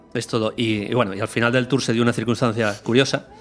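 The words come at a very fast pace while noticeable background noise carries on underneath. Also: man. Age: 40s. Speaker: researcher and podcaster. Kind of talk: casual chat.

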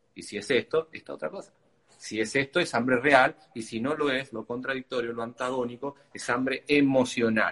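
A man speaks in a plain, everyday voice at medium pitch and a moderate pace, with ordinary pitch variation and big swings in loudness. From Argentina, Tucumán. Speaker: nutritionist and athlete. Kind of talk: interview. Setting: video call via Instagram live.

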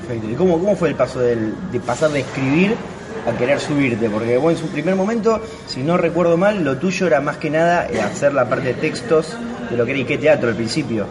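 A man with an Argentine accent talks at a fairly quick pace in a fairly high pitch, his intonation lively. Noticeable background noise and audible room echo fill the recording. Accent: Rioplatense Argentine Spanish. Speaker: podcast host. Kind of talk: casual interview.

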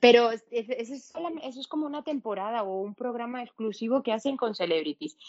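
A woman talks at a moderate pace with hardly any pauses. Her high-pitched voice carries lively intonation. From Venezuela. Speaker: podcast guest. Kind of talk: casual chat.

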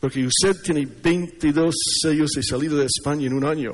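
Male speech, fairly high in pitch, moderately paced, with ordinary pitch variation. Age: 60s. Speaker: preacher. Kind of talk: sermon. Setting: church conference with audience. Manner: halting. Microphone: sound system problems.

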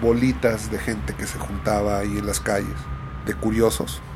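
A man at a moderate pace with very wide pitch swings, amid audible room echo and noticeable background noise. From Mexico City, grew up in Ciudad Neza. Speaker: podcast storyteller. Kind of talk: personal storytelling monologue. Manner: casual, conversational.

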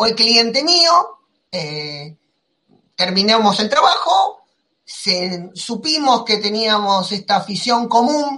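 At a very slow pace, a man with an Argentine accent uses a raised, projected voice that is high-pitched and bright and sharp in tone, with very wide pitch swings. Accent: Rioplatense Argentine Spanish. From Argentina. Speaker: comics podcast host. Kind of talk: casual chat.

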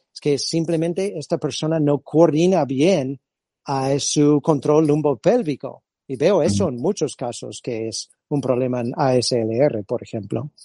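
Recorded dry and close with no echo, a man with an American accent has a fairly high pitch and a dark, mellow tone. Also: ordinary pitch variation, fairly slow pace. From California. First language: English (speaking Spanish). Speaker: physiotherapist and movement-screening instructor. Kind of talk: interview. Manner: halting.

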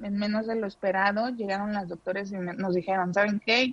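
Fairly even intonation carries a voice that is somewhat breathy. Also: woman. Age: 30s. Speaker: mother of a sick child. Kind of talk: testimony.

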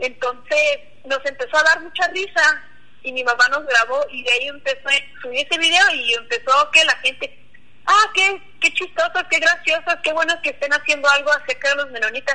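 A woman with a high pitch uses a raised, projected voice at a fairly quick pace. Her pitch variation is ordinary, and there is noticeable background noise. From Mennonite community near Cuauhtémoc, Chihuahua, Mexico. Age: 20s. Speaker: Mennonite YouTuber. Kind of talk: interview.

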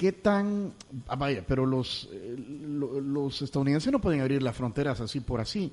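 Here is a man with an ordinary speaking voice and a fairly high pitch. His pace is moderate and his intonation lively. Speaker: radio host. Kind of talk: radio interview.

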